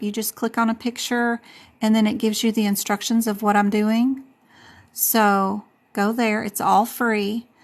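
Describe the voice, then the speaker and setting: A woman speaks at a fairly high pitch in a flat, monotone delivery. Her pace is fairly slow against a quiet background. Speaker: medical coding instructor. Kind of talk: live stream tutorial. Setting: live stream. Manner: casual, chatty; loud.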